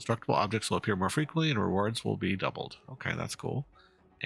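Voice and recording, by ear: Reading aloud in a natural voice, intonation lively throughout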